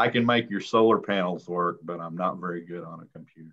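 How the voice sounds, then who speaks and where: In a bright, sharp tone and a monotone, flat intonation, a man speaks against a quiet background. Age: 60s. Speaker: solar energy business owner. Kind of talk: q&a discussion.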